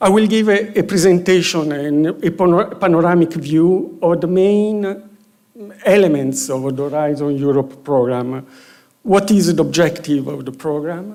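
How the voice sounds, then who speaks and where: In a room with audible echo, a man with a high pitch and a dark, mellow tone speaks at a moderate pace. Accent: Romanian. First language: Romanian. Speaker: EU research program official. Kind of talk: conference presentation. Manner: halting, many fillers.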